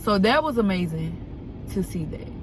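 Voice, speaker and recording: There is audible room echo around a woman's voice. Behind her, background noise is noticeable. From Alabama, US South. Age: 20s. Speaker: vlogger. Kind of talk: casual vlog talk. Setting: in a car. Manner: unscripted, conversational.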